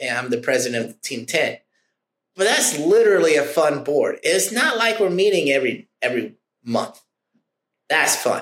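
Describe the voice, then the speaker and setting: This man talks loudly at a moderate pace in a fairly high pitch, with very wide pitch swings, an animated tone, and long, frequent pauses. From Oklahoma. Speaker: insurance producer. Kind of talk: casual interview.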